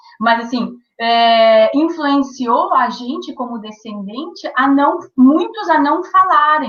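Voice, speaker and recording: A woman's high pitch comes with lively intonation. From southern Brazil, Rio Grande do Sul, Quarta Colônia. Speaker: author and former radio broadcaster. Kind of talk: interview. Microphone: delayed connection.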